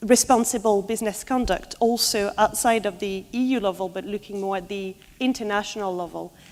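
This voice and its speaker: With a French accent, a woman speaks at a medium pitch. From France. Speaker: law researcher. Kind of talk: conference presentation.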